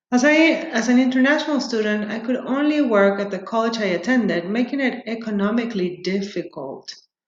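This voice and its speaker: With a Spanish accent, a woman speaks fairly quickly at a fairly high pitch, her intonation lively. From Peru. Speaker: doctoral student. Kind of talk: prepared self-introduction, read aloud.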